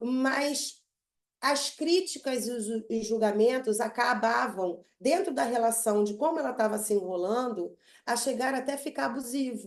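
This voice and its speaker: A woman's high voice at a fairly slow pace. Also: ordinary pitch variation. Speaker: psychotherapist. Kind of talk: online group talk.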